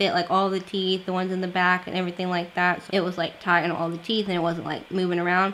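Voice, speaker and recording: A woman speaks at medium pitch. Noticeable background noise runs behind her. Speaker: beauty and lifestyle vlogger. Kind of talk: casual vlog talk. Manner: casual, filler-heavy.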